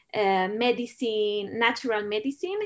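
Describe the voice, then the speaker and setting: In a very clean recording with a silent background, a woman speaks with a Spanish accent at a fairly high pitch. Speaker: documentary filmmaker. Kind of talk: Q&A interview. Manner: halting.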